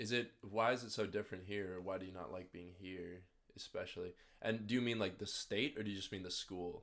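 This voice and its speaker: A man's fairly low, fairly even voice with an American accent at a fairly quick pace, an unremarkable speaking voice. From Minneapolis, Minnesota. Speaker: podcast host. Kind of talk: casual chat.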